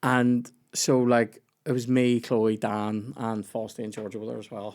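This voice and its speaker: With a Northern Irish accent, a man of medium pitch speaks at a moderate pace in a monotone, flat intonation, in a very clean recording with a silent background. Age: 30s. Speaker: comedian and podcast host. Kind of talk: casual chat.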